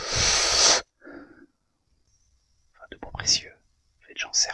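A man is speaking. He whispers. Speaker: cigar tasting host and ASMR channel owner. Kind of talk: ASMR cigar tasting, casual talk to camera. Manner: soft, relaxed, slow. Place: home room.

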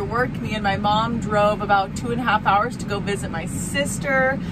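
A woman's voice at a moderate pace with ordinary pitch variation and hardly any pauses, over loud background noise. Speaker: farmer vlogger. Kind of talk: casual vlog chat. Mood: cheerful, chatty. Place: farm machine. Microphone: phone near.

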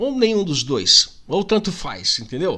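Raising and projecting his high-pitched voice, a man speaks in a bright, sharp, animated tone with very wide pitch swings. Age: 40s. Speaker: YouTuber. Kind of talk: casual vlog monologue. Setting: home. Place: home room. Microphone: studio mic.

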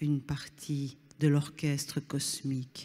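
Speaking at a very slow pace in a soothing, calm tone, the voice comes through on a very clean recording with a silent background. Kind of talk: guided meditation. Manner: slow, soothing, calm; gentle, instructive, addressing listener directly.

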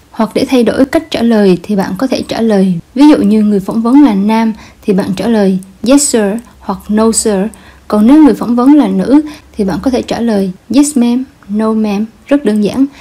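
A woman with an unremarkable speaking voice talks at a moderate pace, fairly high in pitch, with ordinary pitch variation. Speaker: language teacher. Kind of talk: instructional lesson narration.

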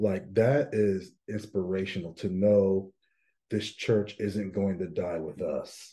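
The background is quiet. The speech comes at a very slow pace with fairly even intonation. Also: man, fairly low pitch for a man. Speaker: pastor. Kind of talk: casual podcast conversation. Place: meeting room. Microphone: webcam.

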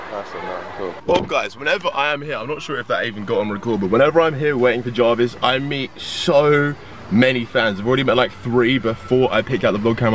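A man talks at a very fast pace with light background noise and a dry sound with no echo. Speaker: vlogger. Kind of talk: casual vlog chat. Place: car. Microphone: phone near.

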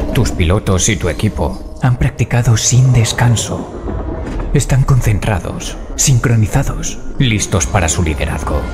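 Over music in the background, a man with a fairly low pitch speaks at a fairly slow pace with very wide pitch swings. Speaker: voice actor. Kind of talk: video game trailer dub. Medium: dub.

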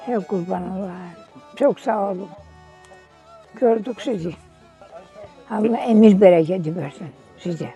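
A woman talks at a medium pitch and a fairly slow pace, with ordinary pitch variation and big swings in loudness. Her long pauses come often, and music plays in the background. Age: 80s+. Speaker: village elder. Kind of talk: interview answer.

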